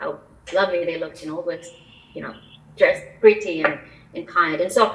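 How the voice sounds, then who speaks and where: Noticeable background noise sits under a woman's fairly low voice. She talks at a fairly quick pace with ordinary pitch variation. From Albania. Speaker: immigration attorney. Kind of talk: interview.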